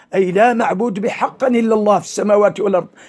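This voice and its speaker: A man with a Mauritanian accent speaks in a high voice with ordinary pitch variation. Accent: Hassaniya Arabic. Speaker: Islamic preacher. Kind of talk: religious sermon.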